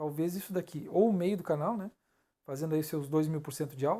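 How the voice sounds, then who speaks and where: Recorded very cleanly against silence, a man speaks fairly quickly at a high pitch with ordinary pitch variation. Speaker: crypto analysis youtuber. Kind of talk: chart analysis tutorial. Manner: fast; halting, stumbles over words.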